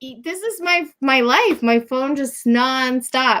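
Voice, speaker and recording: At a very slow pace, a woman projects a raised voice with a bright, sharp tone, a high pitch and lively intonation. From New Jersey. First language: Japanese. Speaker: realtor. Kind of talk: live show interview.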